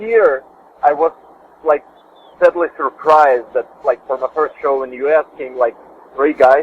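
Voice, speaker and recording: A man with a fairly high pitch speaks at a moderate pace, leaving long, frequent pauses. His pitch moves in an ordinary way, and background noise is noticeable. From Russia. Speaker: guitarist. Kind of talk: interview. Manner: halting, many fillers and repetitions.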